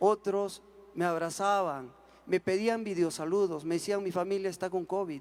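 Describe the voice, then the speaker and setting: The speaker is a man with an Andean accent. His pitch is high. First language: Quechua (speaking Spanish). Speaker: singer. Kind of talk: panel talk.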